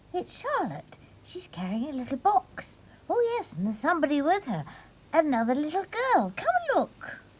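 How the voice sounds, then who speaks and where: This cartoonish character voice is high-pitched, with very wide pitch swings. The pace is moderate. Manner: bright, eager, quick.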